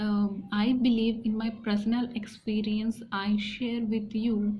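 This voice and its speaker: In an Indian accent, a woman with a fairly high voice speaks at a very slow pace in a flat monotone with very even loudness, with audible room echo. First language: Hindi and a regional mother tongue. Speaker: English learning youtuber. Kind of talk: personal tutorial talk. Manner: halting, many fillers and restarts.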